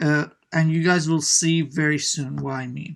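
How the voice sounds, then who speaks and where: On a very clean recording with a silent background, the words unfold at a fairly slow pace. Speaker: web development tutor. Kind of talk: coding tutorial. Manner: casual, with many fillers.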